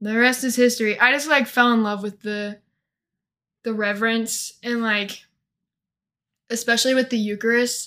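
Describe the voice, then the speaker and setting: A woman with a Midwestern American accent speaks at a moderate pace in a fairly high, bright, sharp voice with monotone, flat intonation. She leaves long, frequent pauses, and the recording is very clean with a silent background. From US Midwest, northeast Missouri. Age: 20s. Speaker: college student. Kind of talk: casual interview. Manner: hesitant, many fillers.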